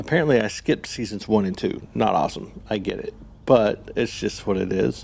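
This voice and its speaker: Vocal fry runs through this man's fairly low voice as he talks at a fairly quick pace with ordinary pitch variation. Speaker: gaming streamer. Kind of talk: casual live-stream chat. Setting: live stream, late night at home. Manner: loud.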